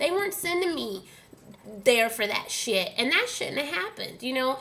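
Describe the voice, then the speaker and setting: A woman with an American accent projects a raised voice at a high pitch with very wide pitch swings. She moves at a fairly quick pace over noticeable background noise. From Dallas, Texas (Oak Cliff). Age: 30s. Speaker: vlogger. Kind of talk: angry rant to camera. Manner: animated.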